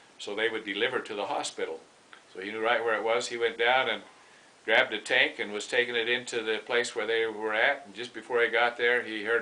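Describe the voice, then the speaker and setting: Against noticeable background noise, a man with an American accent talks at a fairly quick pace and medium pitch, his intonation monotone and flat while his loudness swings widely. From Utah, Heber City. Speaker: grandfather telling family stories. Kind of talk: casual storytelling. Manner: halting.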